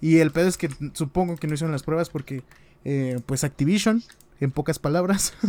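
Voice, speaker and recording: This man has a fairly high pitch and a dark, mellow tone with ordinary pitch variation. He talks at a fairly quick pace, with a dry, close sound and no echo. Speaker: gaming podcast co-host. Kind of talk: casual chat. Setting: live stream.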